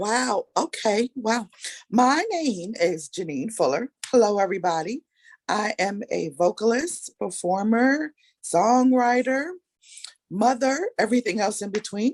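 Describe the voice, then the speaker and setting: With an American accent, the speaker moves at a fairly slow pace through very wide pitch swings, the sound dry and close with no echo. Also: woman, fairly high pitch for a woman. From New York, Brooklyn. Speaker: singer. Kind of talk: casual chat.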